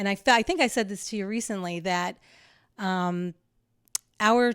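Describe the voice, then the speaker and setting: A woman's normal speaking voice at medium pitch, moderate pace, and ordinary pitch variation. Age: 60s. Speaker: landscape designer. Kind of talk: casual chat.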